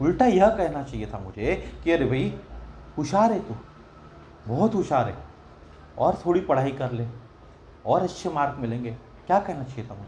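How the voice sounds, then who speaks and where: A man with a fairly high pitch and a dark, mellow tone speaks with vocal fry, very wide pitch swings, big swings in loudness and long, frequent pauses. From Maharashtra, India. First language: Marathi (speaking Hindi). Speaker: religious storyteller. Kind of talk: religious discourse.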